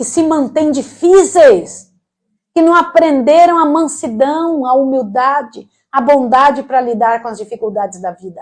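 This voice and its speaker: Against a quiet background, a woman with a high pitch and lively intonation talks at a fairly slow pace, with big swings in loudness. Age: 60s. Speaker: preacher. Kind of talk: sermon. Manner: animated.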